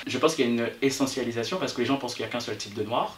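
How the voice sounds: A man with a Réunion accent and medium pitch, ordinary pitch variation, over noticeable background noise. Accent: Réunion island French.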